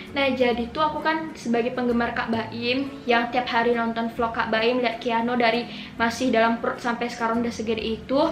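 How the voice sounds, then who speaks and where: With hardly any pauses and very even loudness, the speech carries audible room echo and noticeable background noise. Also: woman, high pitch for a woman. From Indonesia, Pekanbaru (Riau). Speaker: vlogger. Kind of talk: casual vlog chat. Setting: bedroom at night. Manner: fast, excited; quiet, low volume.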